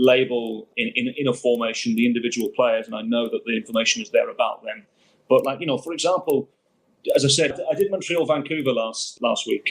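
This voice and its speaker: A man's fairly high-pitched voice with an English accent. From Birmingham, England. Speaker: football commentator. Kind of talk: interview answer.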